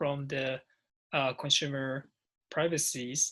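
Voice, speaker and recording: A man speaks in a Japanese accent at a fairly slow pace. His pitch is fairly high and his tone is bright and sharp. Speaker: interviewer, non-profit founder. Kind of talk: interview. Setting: call.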